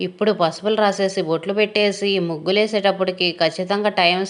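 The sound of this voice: A woman speaks at a fairly quick pace in a medium pitch.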